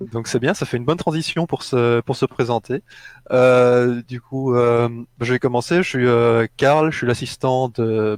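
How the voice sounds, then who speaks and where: A man with a slight Belgian accent speaks at medium pitch, with ordinary pitch variation and a fairly slow pace. The sound is dry and close with no echo, in a very clean recording with a silent background. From Belgium, Brussels. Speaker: gaming streamer, video assistant. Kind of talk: casual chat.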